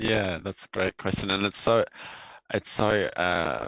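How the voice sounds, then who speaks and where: An Australian accent at a fairly quick pace, with fairly even intonation and a dry, close sound with no echo. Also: man. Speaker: filmmaker. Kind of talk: interview.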